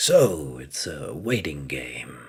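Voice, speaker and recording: A raspy, put-on character voice from a man, very deep and low in pitch, with very wide pitch swings. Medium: read story. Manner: hushed, calm, confident.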